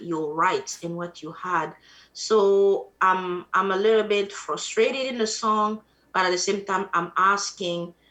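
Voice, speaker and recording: A woman with an Ivorian accent, medium in pitch, bright and sharp in tone, at a fairly slow pace with fairly even intonation. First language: Atie. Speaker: musician. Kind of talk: interview.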